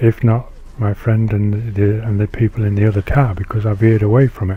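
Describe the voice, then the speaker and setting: Somewhat breathy and dark, mellow in tone, a man with a British accent speaks at a medium pitch and a moderate pace. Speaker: Air Force veteran. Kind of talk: personal video monologue.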